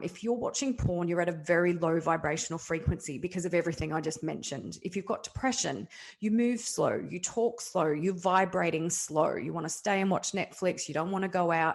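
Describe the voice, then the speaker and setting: With an Australian accent, a woman with a fairly low voice speaks at a fairly quick pace, with hardly any pauses and ordinary pitch variation. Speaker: kinesiologist and men's health practitioner. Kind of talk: interview. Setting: podcast interview. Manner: fast.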